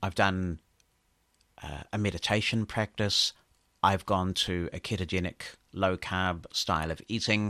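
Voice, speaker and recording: A man with a New Zealand accent speaks at a fairly slow pace, his very deep, low pitch carrying a bright, sharp tone over a quiet background. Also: dry, close sound with no echo. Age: 50s. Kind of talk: interview.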